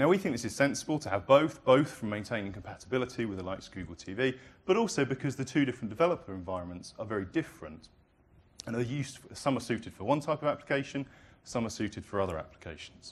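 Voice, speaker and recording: A man speaks with a British accent. He talks at a very fast pace with very wide pitch swings. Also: medium pitch for a man. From Britain. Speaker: product presenter. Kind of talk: live product demo presentation.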